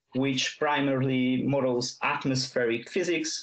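A man with a Hungarian accent talks at a very slow pace in a fairly high pitch. Faint music plays in the background. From Hungary. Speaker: university student giving a tech talk; presenter. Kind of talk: conference presentation. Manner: hesitant, many fillers. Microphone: headset.

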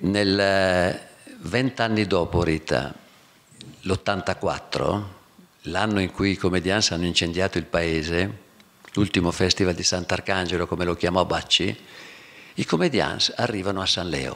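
A man speaks slowly-ish, at a fairly slow pace, in a very deep, low voice. His intonation is fairly even, with long, frequent pauses. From northern Italy, Verona lowlands (Veneto); Veneto, Italy. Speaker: theatre actor and festival director; theatre actor. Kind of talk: public talk, personal recollection. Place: hall. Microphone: podium.

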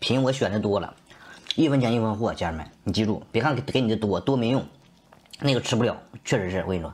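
Speaking at a very fast pace with ordinary pitch variation, a man leaves long, frequent pauses. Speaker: food streamer selling snacks. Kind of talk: street seller pitch. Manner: loud, hyped, fast-talking; animated, folksy, repeating 家人们 and 铁子们. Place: home room. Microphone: lapel.

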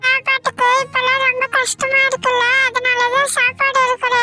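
With faint music in the background, a cartoonish character voice at an extremely high pitch speaks at a fairly slow pace in a monotone, flat intonation. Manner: sweet, wheedling.

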